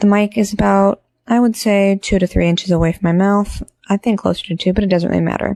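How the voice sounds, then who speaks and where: Soft-spoken with a dark, mellow tone, a woman talks at medium pitch and a fairly quick pace with fairly even intonation, dry and close with no echo. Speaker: product reviewer. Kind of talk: product review demo. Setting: home recording on phone. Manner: hesitant. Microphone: clip-on lavalier mic into phone.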